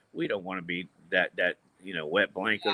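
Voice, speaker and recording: A man talks at a fairly quick pace in an ordinary speaking voice with ordinary pitch variation. The sound is dry and close, with no echo. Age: 60s. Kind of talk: casual chat.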